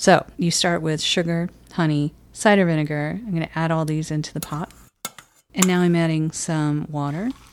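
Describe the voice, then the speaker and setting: A woman with an American accent has an unremarkable speaking voice. Her pitch is fairly low and her intonation fairly even. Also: moderate pace. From Michigan. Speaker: podcast host. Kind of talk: cooking demonstration; casual chat. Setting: home kitchen.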